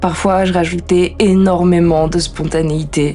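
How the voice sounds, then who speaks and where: A woman's voice over music in the background. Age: 20s. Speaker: podcaster. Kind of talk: introspective personal monologue.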